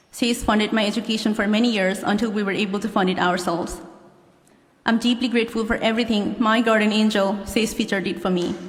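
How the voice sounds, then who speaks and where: A woman with a Nepali accent at a very fast pace, monotone and flat in intonation, with audible room echo. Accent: Nepali accent, self-described. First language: Nepali (English is second language). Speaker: law graduate. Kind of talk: commencement speech. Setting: stage with audience.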